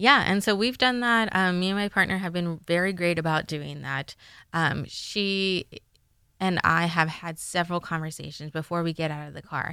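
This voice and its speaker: Bright and sharp in tone, a woman with a fairly low pitch and an American accent speaks in a very clean recording with a silent background. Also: ordinary pitch variation, moderate pace. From Los Angeles, US. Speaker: graduate student. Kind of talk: casual chat.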